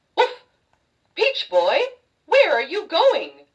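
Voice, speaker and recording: A put-on character voice, squeaky and extremely high in pitch, carries the line. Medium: read story.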